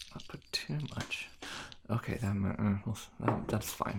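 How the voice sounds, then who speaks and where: A man talks with an American accent in a fairly low voice. Noticeable background noise runs under the recording. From US Midwest/South. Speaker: food ASMR YouTuber. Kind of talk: casual cooking chat. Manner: casual, chatty.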